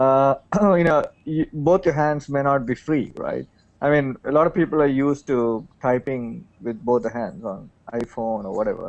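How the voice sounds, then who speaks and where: This man speaks with a South Indian accent. His pitch sits fairly high. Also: ordinary pitch variation, moderate pace. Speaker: tech show panelist. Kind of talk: casual panel discussion.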